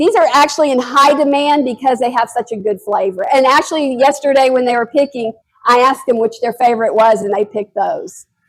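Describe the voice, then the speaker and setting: A woman speaks loudly in a high pitch. Her pace is fairly quick. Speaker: master gardener and blackberry grower. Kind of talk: educational talk to an audience.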